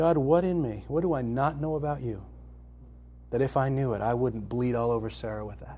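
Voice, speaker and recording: With audible room echo, a man speaks at a fairly quick pace and medium pitch, his tone dark and mellow and his pitch variation ordinary. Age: 50s. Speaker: author and speaker. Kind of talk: recorded talk to a live audience.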